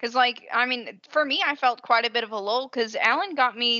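Over noticeable background noise, a woman with a Southern US accent and fairly high pitch speaks at a moderate pace. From US South. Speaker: podcast host. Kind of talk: casual chat. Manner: animated.

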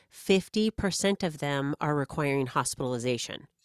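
In a very clean recording with a silent background and a dry, close sound with no echo, a woman speaks at a moderate pace in an energetic tone with ordinary pitch variation. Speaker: therapist and author. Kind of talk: casual interview chat. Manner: energetic, talkative.

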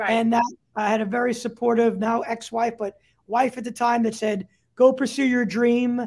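Speaking at an extremely high pitch, a man keeps his intonation monotone and flat. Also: moderate pace. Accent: New York. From New York, Staten Island. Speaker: startup CEO. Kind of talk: interview.

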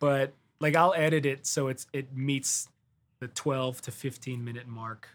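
A man with an American accent and an unremarkable speaking voice talks at a fairly slow pace and medium pitch, with fairly even intonation and big swings in loudness. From US Midwest, Detroit, Michigan. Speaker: touring guitarist. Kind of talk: casual interview chat.

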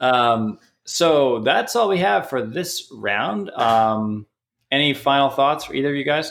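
Speaking at a fairly slow pace, a man with an unremarkable speaking voice has a fairly high pitch and lively intonation. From Canada. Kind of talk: casual chat.

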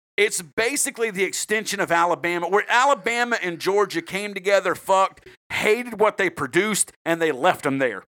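A man's high, bright, sharp voice, raised and projected, with a Southern US accent, a fairly quick pace and hardly any pauses. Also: ordinary pitch variation. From South Carolina. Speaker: true crime podcast host. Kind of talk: casual, profane chat with storytelling.

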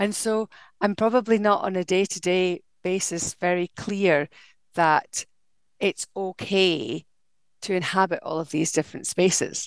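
A woman's medium-pitched voice, fairly slow with long, frequent pauses, dry and close with no echo against a quiet background. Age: 50s. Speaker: artist and slow fashion designer. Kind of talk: casual chat. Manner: animated.

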